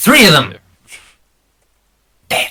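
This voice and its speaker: The voice is a man's. It's a put-on character voice. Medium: actual play. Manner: curt, gruff.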